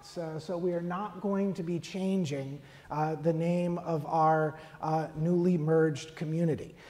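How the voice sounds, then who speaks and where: Speaking at a fairly slow pace, a woman uses a fairly low pitch. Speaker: priest celebrant. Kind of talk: church announcement. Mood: gentle, pastoral. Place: church.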